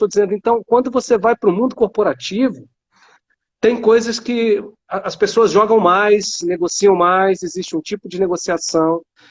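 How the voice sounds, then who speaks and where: A man with a high pitch and a Rio de Janeiro accent. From Rio de Janeiro, Brazil. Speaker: academic and startup founder. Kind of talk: panel discussion.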